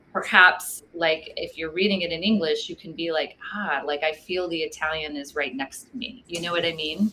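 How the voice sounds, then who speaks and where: A woman with an American accent speaks at a moderate pace in a fairly low voice, her intonation fairly even and her speech hardly pausing, over noticeable background noise. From Texas. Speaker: wine book author. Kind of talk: casual interview.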